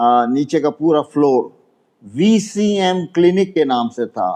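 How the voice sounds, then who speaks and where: Ordinary pitch variation marks a man's dark, mellow tone. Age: 80s+. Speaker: elderly landlord, complainant. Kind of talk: interview testimony. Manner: halting.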